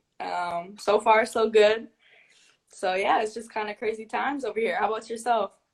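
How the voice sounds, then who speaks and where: A woman with an Upper Midwest accent, fairly even in intonation, at a moderate pace. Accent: Upper Midwest American. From US Midwest, Saint Paul, Minnesota. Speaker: basketball player. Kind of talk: casual chat.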